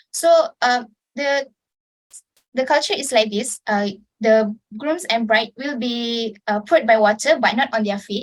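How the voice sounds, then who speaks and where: Here is a plain, everyday voice, moving at a fairly slow pace with ordinary pitch variation. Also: woman, fairly high pitch for a woman. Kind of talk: informative club speech.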